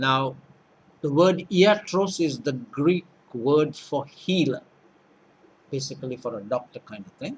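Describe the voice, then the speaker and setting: Somewhat breathy, a man speaks with lively intonation at a fairly slow pace. He takes long, frequent pauses, and his loudness swings widely. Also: fairly high pitch for a man. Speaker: lecturer. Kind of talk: lecture.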